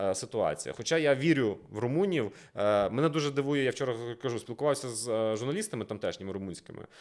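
Very fast and animated, the voice comes through on a very clean recording with a silent background. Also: man. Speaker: political analyst. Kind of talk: casual discussion.

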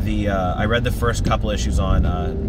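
A man speaks in a dry sound with no echo. Loud background noise surrounds him. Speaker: comics vlogger. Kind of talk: casual vlog chat. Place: car. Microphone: phone near.

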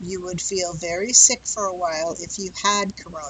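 A woman's medium-pitched voice, dry with no echo. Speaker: English teacher. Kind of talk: lecture. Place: home room. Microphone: headset.

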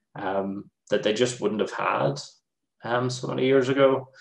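Audible room echo surrounds a man with a Northern Irish accent. He keeps a moderate pace and ordinary pitch variation. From Northern Ireland. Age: 30s. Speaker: games developer; lecturer. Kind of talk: presentation. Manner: casual, hesitant with many fillers. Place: home room. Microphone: webcam.

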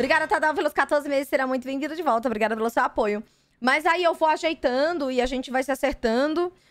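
With a dry sound and no echo, a woman speaks at a high pitch with ordinary pitch variation. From Brazil. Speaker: streamer. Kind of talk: casual live stream chat. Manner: halting. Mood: relaxed, slightly anxious about feedback. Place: home room. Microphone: studio mic.

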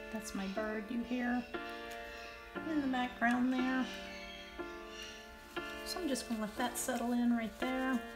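A woman at a high pitch, fairly slow pace and fairly even intonation, with long, frequent pauses and clear music in the background. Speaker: watercolor teacher. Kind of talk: tutorial.

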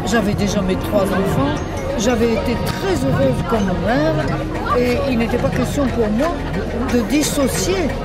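A woman talks at a fairly slow pace over loud background music. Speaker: feminist historian. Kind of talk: interview answer. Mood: calm, reflective. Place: street. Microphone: handheld.

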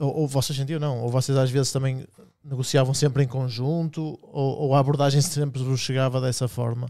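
Against a quiet background, a man with a dark, mellow tone and medium pitch speaks at a moderate pace in monotone, flat intonation. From Portugal. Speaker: podcast host. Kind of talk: casual chat. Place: studio. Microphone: studio mic.

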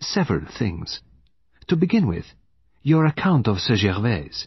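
A man's put-on character voice, fairly low and husky with a rough edge, fairly slow, with big pitch swings.

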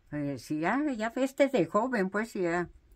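The pace is very slow. Pitch swings very widely throughout. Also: woman. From Mexico, Oaxaca, Cuicatlán region. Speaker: mat weaver. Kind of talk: interview storytelling.

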